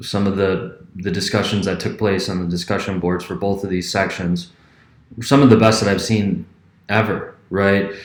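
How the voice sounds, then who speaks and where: Fairly low male voice with fairly even intonation and audible room echo. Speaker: history professor. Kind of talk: class announcement video. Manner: speeds up when passionate.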